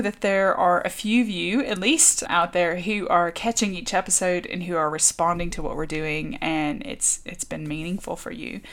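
Over noticeable background noise, a woman at medium pitch talks at a moderate pace with lively intonation, big swings in loudness and hardly any pauses. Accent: American. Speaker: podcast co-host. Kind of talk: casual chat.

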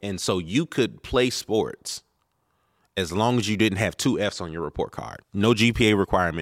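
This is an ordinary speaking voice with ordinary pitch variation at a moderate pace. The sound is dry and close, with no echo. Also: man, fairly low pitch for a man. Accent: American. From Maryland, Baltimore area. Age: 30s. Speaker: minister. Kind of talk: casual interview. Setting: on location.

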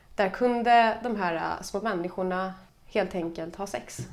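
A woman with a Stockholm accent speaks with ordinary pitch variation. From Stockholm, Sweden. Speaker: podcast guest. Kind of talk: casual chat.

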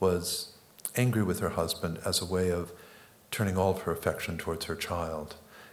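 A man speaks at a moderate pace with a very deep, low pitch. Room echo is audible. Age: 60s. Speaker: psychoanalyst and author. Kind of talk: on-stage interview.

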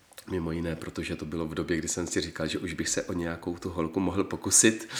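Very deep and low in pitch, a man speaks at a fairly quick pace. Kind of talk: interview.

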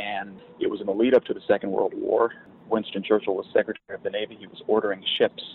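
Speaking at a fairly quick pace, a man has an American accent. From US West, Portland, Oregon. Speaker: real estate investment executive. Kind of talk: interview.

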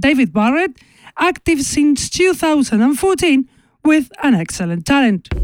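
Enthusiastic and high-pitched, a woman speaks at a fairly slow pace with very wide pitch swings. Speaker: radio DJ and electro show presenter. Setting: online radio show with streaming. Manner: brisk, polished and enthusiastic, reeling off release dates and labels, hyping each tune.

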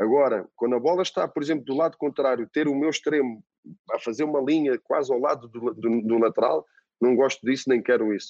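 A man at medium pitch with a European Portuguese accent and ordinary pitch variation, dry and close with no echo. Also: fairly quick pace. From Portugal. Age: 40s. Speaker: football coach. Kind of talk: interview. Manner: halting, repeats words.

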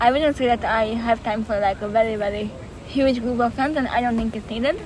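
A woman with a high pitch speaks at a fairly quick pace with fairly even intonation. Noticeable background noise runs underneath. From Hungary, Budapest. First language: Hungarian. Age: 20s. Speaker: peace activist. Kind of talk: interview. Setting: outdoors in a park.

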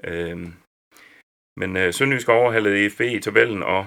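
A bright, sharp tone in a very clean recording with a silent background. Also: man. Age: old. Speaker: sports journalist. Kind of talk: casual chat.

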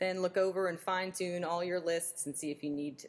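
A woman speaks at a fairly quick pace in an unremarkable speaking voice. Her pitch is fairly low and her intonation fairly even. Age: 20s. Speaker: bikini fitness competitor. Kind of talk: casual chat.

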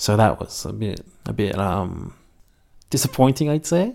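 Very clean recording, silent background, and a man with an Australian accent. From Melbourne, Australia. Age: 20s. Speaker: university student. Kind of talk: interview. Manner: halting.

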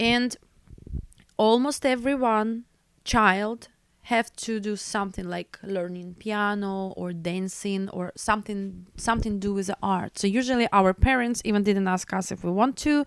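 A woman with a Belarusian accent speaks at a fairly slow pace on a very clean recording with a silent background. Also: medium pitch for a woman, ordinary pitch variation. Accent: non-native English, Belarusian. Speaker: opera singer and music teacher. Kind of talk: interview conversation. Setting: studio. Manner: halting.

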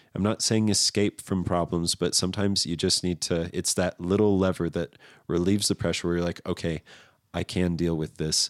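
A man with a very deep, low pitch speaks at a fairly quick pace with fairly even intonation. The sound is dry and close with no echo, on a very clean recording with a silent background. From Southern California. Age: 30s. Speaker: artist. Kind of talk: casual chat.

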